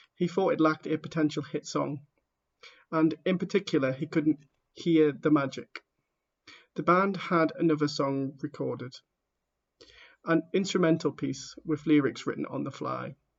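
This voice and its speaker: A man with a fairly high voice and vocal fry, fairly even intonation, a moderate pace and long, frequent pauses. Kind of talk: audiobook reading. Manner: stammering.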